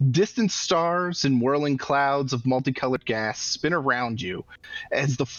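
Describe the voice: The speaker is engaged in plain reading aloud.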